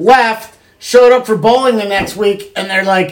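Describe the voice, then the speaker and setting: A woman with an unremarkable speaking voice talks at a fairly slow pace. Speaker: podcast host. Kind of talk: casual banter podcast. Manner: joking, playful.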